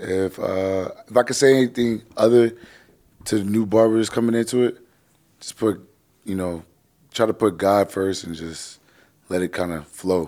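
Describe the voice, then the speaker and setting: A man with an American accent talks at a moderate pace in a fairly low pitch and a dark, mellow tone. His pitch varies in an ordinary way, and he leaves long, frequent pauses. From New York, Flushing, Queens. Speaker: barber and shop owner, podcast co-host. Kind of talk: casual interview chat.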